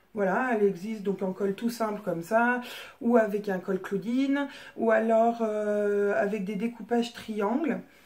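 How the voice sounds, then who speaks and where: Very slow speech from a woman at fairly high pitch. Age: 30s. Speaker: sewing hobbyist vlogger. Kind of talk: casual show-and-tell vlog. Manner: hesitant, many fillers.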